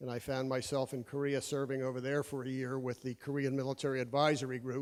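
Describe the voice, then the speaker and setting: A man is speaking here. He has a medium pitch and an American accent. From Pennsylvania, Bucks County. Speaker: army veteran. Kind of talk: testimony. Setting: stage with audience. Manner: hesitant, many fillers.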